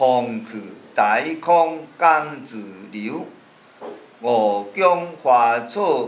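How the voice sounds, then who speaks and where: Over light background noise, a man speaks very slowly with lively intonation, big swings in loudness and long, frequent pauses. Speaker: poetry teacher. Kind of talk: classical poetry reading. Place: classroom. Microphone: camera far.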